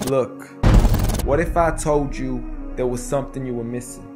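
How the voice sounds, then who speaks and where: The delivery keeps a moderate pace. Behind it, music plays in the background. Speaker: spoken word poet. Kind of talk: spoken word poetry performance.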